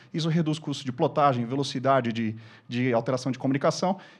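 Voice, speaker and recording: Very fast male speech, its pitch variation ordinary. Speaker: corporate speaker on LED displays. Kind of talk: lecture.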